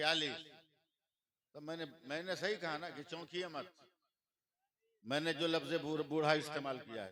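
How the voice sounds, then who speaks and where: Pausing long and often, a man speaks with a fairly high pitch, a bright, sharp tone and ordinary pitch variation. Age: 60s. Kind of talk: religious speech. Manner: direct.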